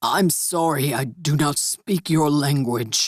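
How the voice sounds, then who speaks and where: This is a man doing a put-on character voice. His voice sounds raspy. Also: fairly high pitch for a man, fairly slow pace. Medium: read story. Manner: formal, stiff phrasing.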